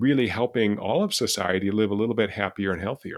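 A man's ordinary speaking voice with an American accent, fairly low pitch, ordinary pitch variation and a fairly quick pace, on a very clean recording with a silent background. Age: 60s. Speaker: behavioral neuroscientist and professor. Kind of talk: casual interview.

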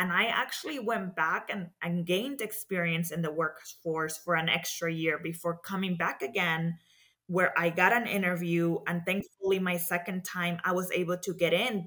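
With a Spanish accent, a woman speaks at a moderate pace and a fairly low pitch, using a bright, sharp tone, fairly even intonation and hardly any pauses. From Mexico. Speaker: community development professional in banking. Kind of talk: interview.

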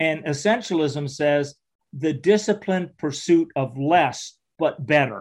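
In an unremarkable speaking voice, a man talks fairly slowly at a fairly high pitch with ordinary pitch variation. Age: 60s. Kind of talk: interview testimony.

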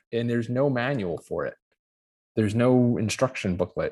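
In an unremarkable speaking voice with an American accent, a man talks at a moderate pace with ordinary pitch variation, in a very clean recording with a silent background. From US Northeast. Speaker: pilot and aviation career coach. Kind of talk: interview.

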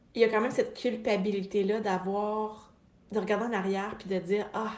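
A woman speaks with a Quebec accent at a fairly slow pace, her medium pitch delivered in a monotone, flat intonation. Audible room echo and noticeable background noise fill the recording. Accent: Québécois French. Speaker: podcast host, business coach for therapists. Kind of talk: motivational monologue.

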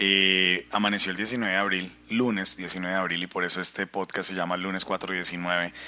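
His pitch very deep and low, a man speaks in a bright, sharp tone with monotone, flat intonation. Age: 40s. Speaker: life coach podcaster. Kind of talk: personal testimony monologue.

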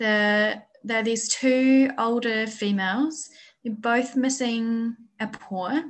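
With a New Zealand accent, the speaker talks at a very slow pace with fairly even intonation. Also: woman, fairly high pitch for a woman. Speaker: bear sanctuary manager. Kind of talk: interview.

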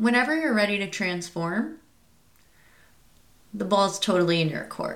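Speaking at a moderate pace with long, frequent pauses, a woman uses lively intonation at a medium pitch. Audible room echo surrounds her voice. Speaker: podcast host, psychic medium. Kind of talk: scripted show intro; casual podcast monologue. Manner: animated.

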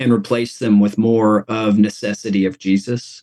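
A man's dark, mellow voice with an American accent, dry and close with no echo. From US South, East Tennessee. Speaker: pastor. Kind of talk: interview.

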